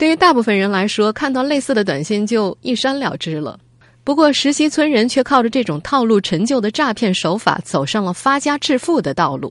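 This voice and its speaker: A woman's fairly high voice rises and falls in very wide pitch swings. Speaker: radio host. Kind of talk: news reading. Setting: studio.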